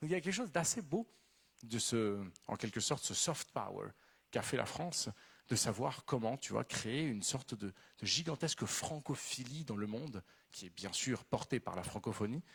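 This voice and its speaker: Speaking at a moderate pace with a Spanish accent, a man has a somewhat breathy voice at a medium pitch, captured in a very clean recording with a silent background. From Venezuela. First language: Spanish (speaking French). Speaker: novelist. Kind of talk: literary talk.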